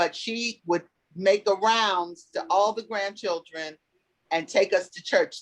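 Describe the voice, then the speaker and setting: With an ordinary speaking voice, a woman talks at a fairly slow pace in a medium pitch, her loudness swinging widely. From Cincinnati, Ohio. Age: 60s. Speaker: community elder. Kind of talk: storytelling in a panel chat.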